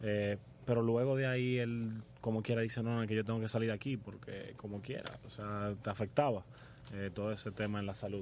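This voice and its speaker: A man's fairly low, monotone voice, flat in intonation, at a fairly quick pace. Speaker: hospitality student and restaurant family heir. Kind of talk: radio interview.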